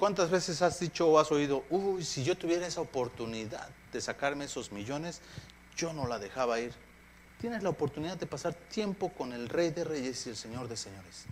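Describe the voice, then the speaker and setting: A man with a fairly high voice talks with lively intonation, keeping a moderate pace. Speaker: pastor. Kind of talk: sermon. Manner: halting.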